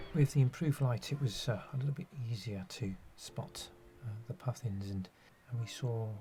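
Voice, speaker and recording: Somewhat breathy with a dark, mellow tone, a man talks at a moderate pace and varies his pitch in an ordinary way. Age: 60s. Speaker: nature photographer. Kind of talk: narration. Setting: outdoors. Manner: halting.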